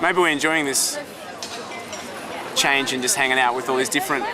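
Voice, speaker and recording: A man with an Australian accent speaks at a fairly high pitch with ordinary pitch variation. Audible room echo and crowd noise fill the background. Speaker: Greek Australian expat. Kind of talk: casual interview.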